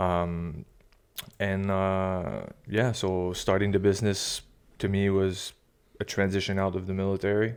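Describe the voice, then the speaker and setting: On a very clean recording with a silent background, a man with an eastern Quebec accent speaks at a very deep, low pitch. He talks at a fairly slow pace in a flat monotone, with long and frequent pauses. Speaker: military veteran and fishing guide. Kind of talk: interview. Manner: halting.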